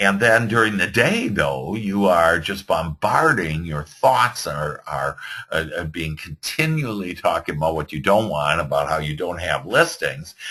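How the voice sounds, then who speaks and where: A man with a Midwestern accent has a very deep, low pitch and a bright, sharp tone. He talks at a fairly slow pace with lively intonation and hardly any pauses. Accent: Midwest American. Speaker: real estate business coach. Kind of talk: webinar presentation. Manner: halting, many fillers.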